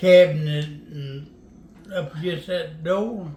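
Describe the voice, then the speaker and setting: There is audible room echo around this man. He speaks in a Southern US accent. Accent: US South. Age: 80s+. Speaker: storyteller. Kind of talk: storytelling.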